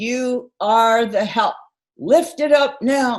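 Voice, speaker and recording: A booming, put-on character voice at a fairly high pitch moves at a very slow pace. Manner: commanding.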